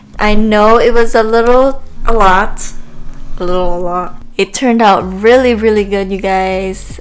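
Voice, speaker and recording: A woman with a Filipino accent talks at a fairly high pitch and a fairly slow pace. Her intonation is fairly even, and audible room echo surrounds her. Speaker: beauty vlogger. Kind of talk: makeup tutorial. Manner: casual, hesitant with fillers.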